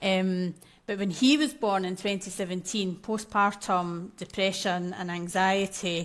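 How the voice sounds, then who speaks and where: In a strong Scottish accent, a woman speaks at medium pitch and a fairly slow pace with fairly even intonation. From Scotland. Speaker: maternal mental health coach. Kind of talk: podcast interview.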